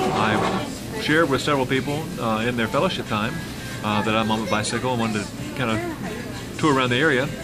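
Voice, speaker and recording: A man talks at a moderate pace. Clear music sounds in the background. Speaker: travel vlogger. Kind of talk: casual vlog chat. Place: cafe. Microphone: phone near.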